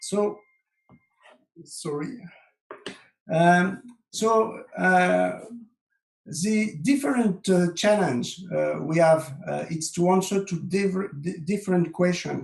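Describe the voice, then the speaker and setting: Speaking very slowly with long, frequent pauses, a man with a French accent uses a high pitch and ordinary pitch variation. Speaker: software consultant. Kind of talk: webinar presentation. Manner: halting, many fillers.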